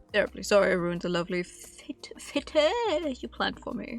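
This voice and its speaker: A woman uses a put-on character voice, fairly high in pitch and strained. Her pitch swings very widely at a moderate pace. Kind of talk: posh, formal.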